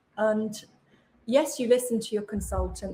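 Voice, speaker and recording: A woman with an English accent speaks at a fairly high pitch and a fairly quick pace. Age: 60s. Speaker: author and podcaster. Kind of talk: interview conversation.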